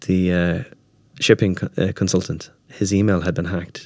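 A man with an Irish accent speaks at a very deep, low pitch with ordinary pitch variation and a moderate pace. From Ireland. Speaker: startup founder. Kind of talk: interview. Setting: studio. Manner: hesitant, many filler words.

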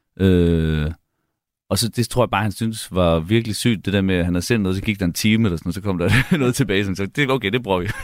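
On a very clean recording with a silent background, a man talks very fast at a fairly low pitch with ordinary variation. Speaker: musician and music producer. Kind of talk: casual radio interview.

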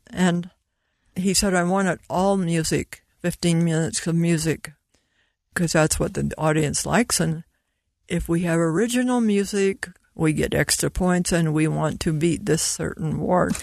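A woman with a plain, everyday voice speaks at a fairly low pitch with ordinary pitch variation and very even loudness against a quiet background. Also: moderate pace. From US Mountain West. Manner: warm, laughs often.

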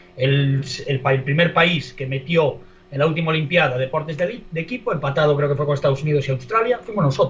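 With noticeable background noise, a man talks at a fairly quick pace in a fairly high voice with ordinary pitch variation. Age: 40s. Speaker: sports podcast panelist. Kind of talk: casual chat.

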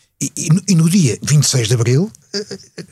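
This man's pitch swings very widely. He is the one speaking. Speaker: veteran journalist. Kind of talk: panel discussion. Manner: halting, repeats words.

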